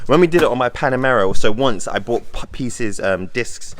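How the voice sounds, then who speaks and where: Amid noticeable background noise, a man with a British accent speaks fairly quickly at medium pitch with ordinary pitch variation. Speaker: car YouTuber. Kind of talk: casual vlog narration.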